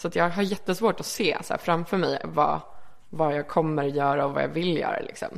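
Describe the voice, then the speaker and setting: Using an unremarkable speaking voice, a woman speaks at a moderate pace and a fairly low pitch, her intonation fairly even. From Sweden (Örebro, then Malmö). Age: 20s. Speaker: magazine editor. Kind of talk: casual interview.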